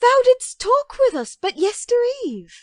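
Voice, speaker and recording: A woman puts on a squeaky character voice at an extremely high pitch. She speaks at a fairly slow pace with lively intonation. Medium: audio drama.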